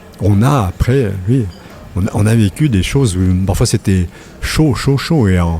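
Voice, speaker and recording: Music plays in the background as a man with a fairly low pitch speaks at a fairly slow pace, his intonation lively, his loudness very even and his pauses long and frequent. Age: 60s. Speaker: retired journalist. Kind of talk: casual interview chat. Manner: hesitant, many repetitions.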